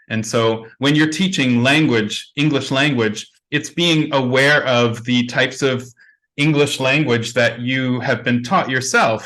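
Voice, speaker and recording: The voice has a bright, sharp tone and fairly even intonation at a fairly slow pace. Loudness stays very even, and room echo is audible. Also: man, medium pitch for a man. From Canada. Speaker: conference plenary speaker. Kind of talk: conference Q&A answer.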